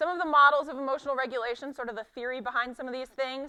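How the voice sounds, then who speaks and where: Speaking very fast in a raised, projected voice, a woman sounds high in pitch with a bright, sharp tone. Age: 20s. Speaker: sport psychology presenter. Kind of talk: conference lecture.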